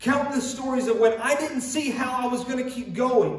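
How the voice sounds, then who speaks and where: Over noticeable background noise and audible room echo, a man with an extremely high pitch talks at a moderate pace. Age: 20s. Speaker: pastor. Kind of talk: sermon. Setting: online church service.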